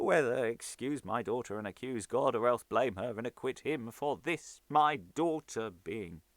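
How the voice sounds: In a natural reading voice, the pitch moves in an ordinary way.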